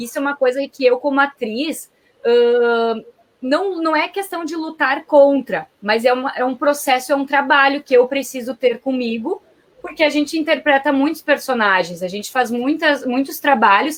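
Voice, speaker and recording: Pitch varies in an ordinary way as this voice proceeds at a moderate pace. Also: woman. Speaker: actress. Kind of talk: live interview conversation. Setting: live online broadcast.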